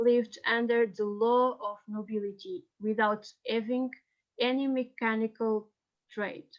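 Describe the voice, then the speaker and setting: With a Portuguese accent, the speaker talks at a fairly slow pace in fairly even intonation. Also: woman. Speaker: historian. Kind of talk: reading aloud. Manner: halting.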